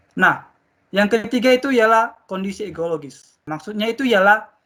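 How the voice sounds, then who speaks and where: Projecting his voice outward, a man speaks at a moderate pace with a bright, sharp tone. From Indonesian mountain region. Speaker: teacher. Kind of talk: classroom lesson. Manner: loud.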